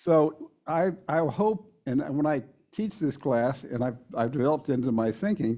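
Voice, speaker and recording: Speaking at a fairly slow pace, a man uses lively intonation. His voice is fairly high in pitch, with a dark, mellow tone. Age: 70s. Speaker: volunteer presenter on healthy aging. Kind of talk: community presentation. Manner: halting, with repeated words.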